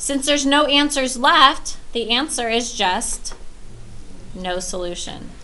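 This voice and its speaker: A woman with a high pitch speaks at a very slow pace in a raised, projected voice with lively intonation, with audible room echo and noticeable background noise. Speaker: math teacher. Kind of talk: lecture.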